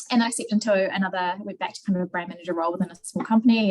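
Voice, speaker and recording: A woman with a New Zealand accent sounds somewhat breathy, keeping a medium pitch and fairly even intonation. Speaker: marketing manager. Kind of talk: interview. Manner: halting, many fillers.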